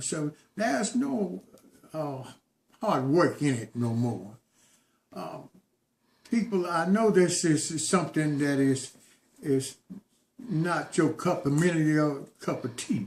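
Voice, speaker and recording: A man talks at a fairly slow pace with long, frequent pauses. His intonation is lively. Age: 60s. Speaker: organic farmer and community organizer. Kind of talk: informal public address video. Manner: halting, with fillers and repetitions; earnest, exhorting.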